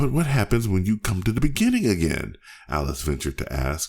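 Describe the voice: The text is read aloud in a plain way.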